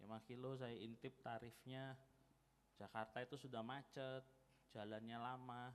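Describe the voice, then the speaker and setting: A man with a Javanese accent at a fairly slow pace, medium in pitch, with fairly even intonation. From East Java, Malang. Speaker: guest preacher. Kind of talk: sermon. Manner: casual, conversational.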